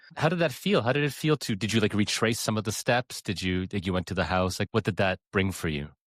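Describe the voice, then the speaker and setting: A man with a Canadian accent and a fairly low pitch talks at a very fast pace with lively intonation and hardly any pauses. The recording is very clean, with a silent background and a dry, close sound with no echo. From Canada. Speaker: podcast host and pianist. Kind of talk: interview.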